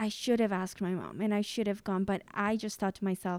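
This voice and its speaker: Very cleanly recorded with a silent background, a woman speaks at a moderate pace in a Spanish accent. Her pitch is medium, and her intonation is flat and monotone. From Mexico. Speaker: preschool teacher and podcast host. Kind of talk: casual conversation.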